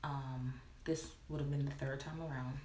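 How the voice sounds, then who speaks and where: Fairly slow speech comes through amid clear background noise, with room echo easy to hear. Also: woman. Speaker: hair vlogger, cosmetologist. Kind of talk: casual vlog. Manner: quiet, hushed.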